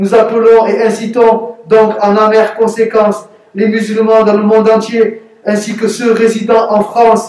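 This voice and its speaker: With monotone, flat intonation, a high-pitched man talks against noticeable background noise. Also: fairly slow pace. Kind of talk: read propaganda statement.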